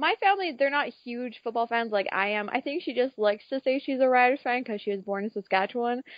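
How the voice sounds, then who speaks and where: A woman's high-pitched voice with a Canadian accent at a fairly quick pace. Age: young. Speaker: football fan. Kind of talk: casual chat. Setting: phone call. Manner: animated.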